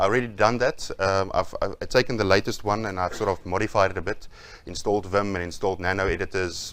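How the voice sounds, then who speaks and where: In a flat monotone and a fairly low voice, a man speaks at a very fast pace. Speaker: conference speaker. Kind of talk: tech talk presentation with live demo. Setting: stage with audience. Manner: mumbling.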